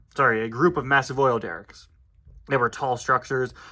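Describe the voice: It is plain reading aloud with fairly even intonation.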